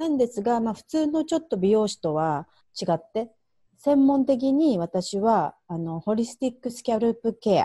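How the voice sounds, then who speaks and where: A woman with a fairly high pitch and a dark, mellow tone speaks at a moderate pace, her pitch swinging very widely and her loudness shifting a lot. The sound is dry and close with no echo, over a quiet background. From Japan. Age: 40s. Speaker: hairdresser and self-care mentor. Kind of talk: interview.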